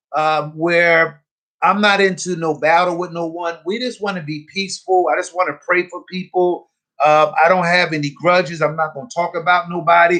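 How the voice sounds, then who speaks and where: A man's high-pitched voice, bright and sharp in tone, with fairly even intonation. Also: moderate pace. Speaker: radio host. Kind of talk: live radio broadcast talk. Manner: earnest, rambling.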